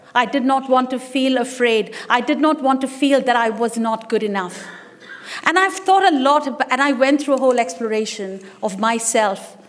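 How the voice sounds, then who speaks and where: Noticeable background noise sits behind a woman's high-pitched voice. She talks at a moderate pace with ordinary pitch variation. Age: 60s. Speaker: business leader and musician giving a speech. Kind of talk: speech at an event. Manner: animated.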